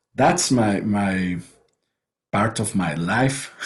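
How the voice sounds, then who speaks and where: A man with a non-native accent and a fairly low pitch speaks with lively intonation. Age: 40s. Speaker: writer and online show host. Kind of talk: interview conversation. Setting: video call. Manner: halting, many repetitions.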